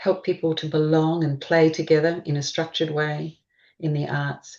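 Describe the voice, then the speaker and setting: A woman's very deep, low voice in an Australian accent, monotone and flat, against a quiet background. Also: moderate pace. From Queensland, Australia. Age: 60s. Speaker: gestalt therapist. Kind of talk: interview.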